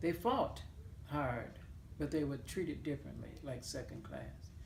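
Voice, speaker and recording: A woman with a Mississippi accent talks at a very slow pace, with audible room echo. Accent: Southern US (Mississippi). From US South, Claiborne County, Mississippi. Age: 70s. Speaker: oral history interviewee. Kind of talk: interview. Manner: hesitant, with fillers.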